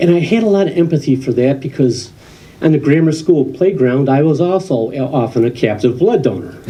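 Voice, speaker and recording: Somewhat breathy, a man with an American accent speaks at a moderate pace in a fairly high pitch with a dark, mellow tone and lively intonation, with audible room echo. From Western New York. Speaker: comedian. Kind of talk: stand-up. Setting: stage with audience.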